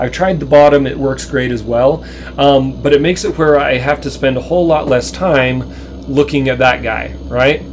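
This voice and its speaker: This man keeps a moderate pace, with noticeable background noise behind him. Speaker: video game live streamer. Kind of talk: live stream gameplay commentary. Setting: home. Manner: halting, many fillers.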